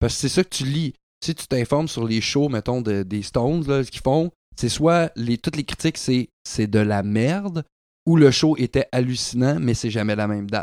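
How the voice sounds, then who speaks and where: A man's medium-pitched voice with a Quebec accent, lively intonation and a moderate pace, on a very clean recording with a silent background and a dry, close sound with no echo. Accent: Québécois French. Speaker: podcast host and musician. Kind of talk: casual chat. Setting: at a guest's home.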